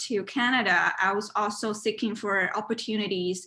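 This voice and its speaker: This woman speaks. She has a Chinese accent. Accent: Mandarin Chinese. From China. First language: Mandarin. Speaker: university student and art committee chair. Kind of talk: interview; informal presentation. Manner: halting, with many fillers. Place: home room. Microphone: webcam.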